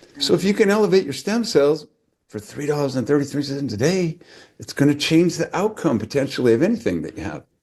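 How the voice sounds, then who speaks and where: A man's fairly high voice at a very fast pace, with vocal fry, very wide pitch swings and big swings in loudness. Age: 70s. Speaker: chiropractor and author. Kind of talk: testimony. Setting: video call.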